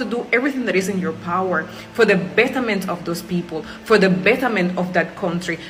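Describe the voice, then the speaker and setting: A woman's animated tone comes through with lively intonation. Noticeable background noise and audible room echo are present. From Cuba. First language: Spanish. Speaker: Cuban immigrant in Jamaica. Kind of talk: personal testimony.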